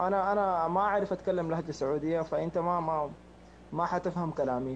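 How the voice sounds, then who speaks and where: Against a quiet background, a man with a high pitch speaks at a moderate pace with fairly even intonation. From Sudan. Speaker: prank target. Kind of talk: phone conversation. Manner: halting.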